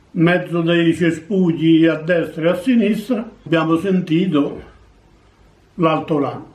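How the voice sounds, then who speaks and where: A high-pitched man speaks very slowly with long, frequent pauses, fairly even intonation and very even loudness. The room echo is audible. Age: 80s+. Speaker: war veteran. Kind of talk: testimony. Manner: halting.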